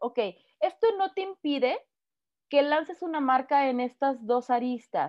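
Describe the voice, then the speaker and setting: A woman with a Mexican accent speaks at a high pitch and a fairly slow pace, with lively intonation and long, frequent pauses. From Mexico. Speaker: footwear designer and consultant. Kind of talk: interview.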